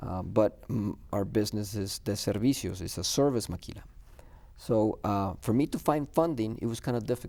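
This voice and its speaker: With a dark, mellow tone, a man speaks at a fairly low pitch and moderate pace, his pitch varying in an ordinary way. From US-Mexico border, Laredo, Texas. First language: Spanish. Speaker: business owner. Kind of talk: TV interview. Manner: halting, many fillers and repeats.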